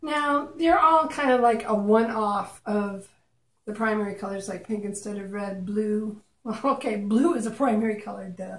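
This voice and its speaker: A woman's fairly high, somewhat breathy voice moves at a moderate pace with ordinary pitch variation, big swings in loudness and a playful tone. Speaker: acrylic pour artist. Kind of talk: casual tutorial. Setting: home art studio, video. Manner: chatty, playful.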